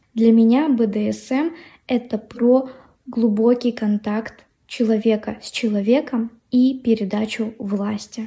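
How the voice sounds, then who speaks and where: A woman speaks at a very slow pace with a fairly high pitch and a dark, mellow tone. Her voice is somewhat breathy, with fairly even intonation and big swings in loudness. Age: 20s. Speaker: podcast host. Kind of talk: monologue.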